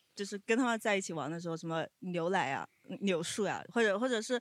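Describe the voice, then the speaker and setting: A man speaks in a dry, close sound with no echo at all. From Siyang, northern Jiangsu. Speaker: audience member. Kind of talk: casual chat. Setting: live audience.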